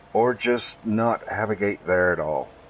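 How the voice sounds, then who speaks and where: Through noticeable background noise, a man with a Southern US accent speaks with ordinary pitch variation. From US South. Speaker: gaming streamer. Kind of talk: live gameplay stream commentary. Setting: live stream. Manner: casual, conversational.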